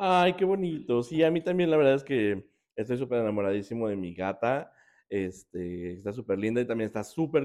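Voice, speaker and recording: Dark, mellow tone at a moderate pace, with very wide pitch swings over a quiet background. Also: man. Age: 30s. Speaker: podcast host. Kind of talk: casual chat. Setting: in person, Querétaro.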